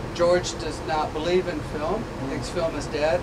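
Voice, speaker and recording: A man talks at a medium pace beneath loud background noise. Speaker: tour guide at film school. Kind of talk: guided tour explanation. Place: booth. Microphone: camera far.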